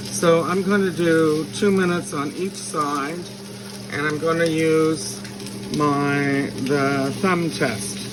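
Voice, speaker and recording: Speech at a very slow pace over noticeable background noise. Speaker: home cooking video host. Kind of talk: cooking tutorial.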